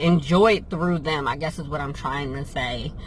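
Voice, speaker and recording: Speaking at a moderate pace with an American accent, a woman has a fairly low pitch and fairly even intonation, with noticeable background noise behind her. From New Jersey and Pennsylvania. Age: 30s. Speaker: vlogger and travel business owner. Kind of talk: casual Q&A vlog.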